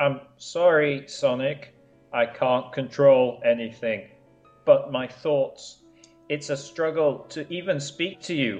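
A man puts on a robotic, strained character voice, pitched fairly high and delivered at a fairly slow pace, with faint music in the background. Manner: halting, struggling to get words out.

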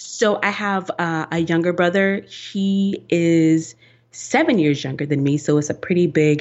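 A woman with an American accent, fairly low in pitch with ordinary pitch variation, at a fairly slow pace. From US South, rural Georgia. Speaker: engineer and podcast co-host. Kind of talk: interview.

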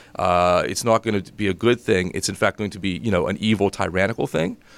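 In a very clean recording with a silent background and a dry, close sound with no echo, a man with an American accent speaks at a fairly low pitch in an unremarkable speaking voice. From Western Pennsylvania (Greensburg). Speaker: nonprofit co-founder, political canvasser. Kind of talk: interview.

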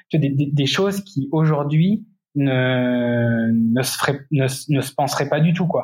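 Somewhat breathy, a man speaks at a fairly high pitch with ordinary pitch variation. His pace is very slow. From France, Indre-et-Loire. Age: 30s. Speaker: cyclist and entrepreneur. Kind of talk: interview.

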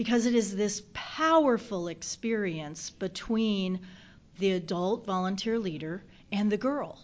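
In a slight Southern accent, a woman talks at a fairly slow pace. Her medium pitch shows ordinary variation. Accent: slight southern twang. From US South. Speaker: nonprofit chief executive. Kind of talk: interview.

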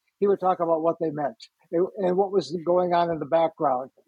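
A man's high voice at a fairly quick pace, with ordinary pitch variation. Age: 70s. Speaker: retired journalism professor. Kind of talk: casual chat. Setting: video call.

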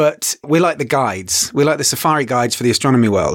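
A man speaks with an English accent. He keeps a fairly quick pace. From England. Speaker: astronomy educator. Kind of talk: interview. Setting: studio.

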